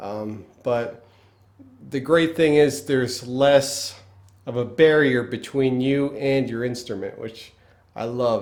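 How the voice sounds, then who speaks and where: A man's medium-pitched voice with a Pennsylvania accent, very slow pace, fairly even intonation, big swings in loudness and audible room echo. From northeastern US, Pennsylvania. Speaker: guitar teacher. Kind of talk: tutorial. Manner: casual, halting with fillers.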